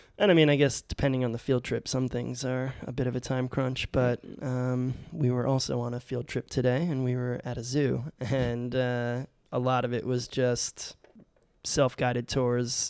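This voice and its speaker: On a very clean recording with a silent background, a man speaks at a moderate pace. His medium-pitched voice is an unremarkable speaking voice with fairly even intonation. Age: 30s. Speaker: teacher and podcast host. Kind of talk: casual chat.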